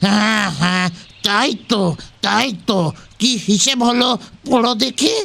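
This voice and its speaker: A man's put-on character voice, raised and projected, high in pitch with ordinary pitch variation, at a fairly slow pace and very even loudness. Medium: audio drama. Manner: grumbling, cranky.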